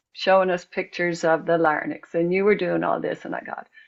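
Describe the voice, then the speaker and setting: Here a woman speaks with an Irish accent. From Ireland. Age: 70s. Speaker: singer and songwriter. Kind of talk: casual interview chat.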